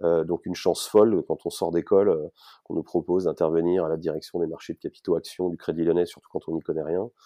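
Very fast and monotone, with flat intonation, a man speaks in a very deep, low pitch. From Paris region, France. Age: 40s. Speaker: startup founder. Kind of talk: interview. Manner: hesitant with repetitions.

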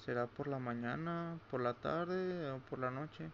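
A man's voice, medium in pitch, with ordinary pitch variation. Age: 20s. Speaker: podcaster. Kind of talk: personal monologue. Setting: at home late at night. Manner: halting.

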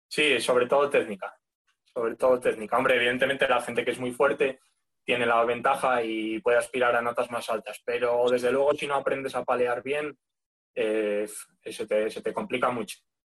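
With monotone, flat intonation, a man's voice stays at a medium pitch. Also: moderate pace. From Spain, León. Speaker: firefighter exam candidate. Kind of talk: casual interview.

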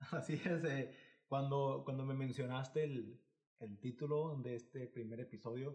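There is a somewhat breathy quality as a man talks, his pitch rising and falling in an ordinary way. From Mexico, Monterrey area (Nuevo León). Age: 20s. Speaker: podcast co-host. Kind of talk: casual chat.

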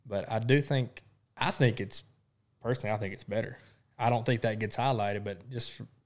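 In an Arkansas accent, a man with a fairly low pitch talks at a fairly quick pace on a very clean recording with a silent background. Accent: Southern US (Arkansas). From South Arkansas. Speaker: podcast co-host. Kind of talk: casual chat.

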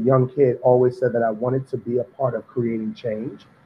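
In a New York accent, a man speaks at a medium pitch. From New York City, Harlem. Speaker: pastry chef. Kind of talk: interview.

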